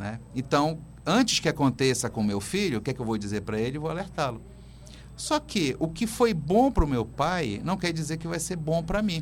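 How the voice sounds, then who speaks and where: With vocal fry and very wide pitch swings, a man talks at a moderate pace in a fairly high pitch. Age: 50s. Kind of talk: radio interview. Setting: radio studio.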